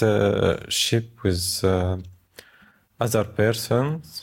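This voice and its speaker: In an Arabic accent, a man speaks with a fairly low pitch. His pace is very slow and his intonation fairly even. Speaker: refugee. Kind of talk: interview. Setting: co-working space. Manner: halting.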